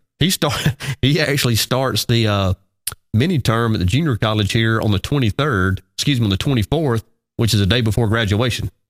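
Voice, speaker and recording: A man with an Alabama accent talks at a fairly quick pace and medium pitch, with ordinary pitch variation, very even loudness, and a dry, close sound with no echo. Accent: Southern US (Alabama). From US South, Alabama. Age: 40s. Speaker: radio show host. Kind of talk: casual morning show chat.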